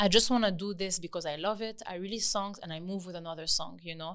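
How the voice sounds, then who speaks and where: A woman's medium-pitched voice with a French accent, fairly quick and fairly even in intonation, on a very clean recording with a silent background. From France, Lebanese family. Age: 30s. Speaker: singer. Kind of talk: podcast interview.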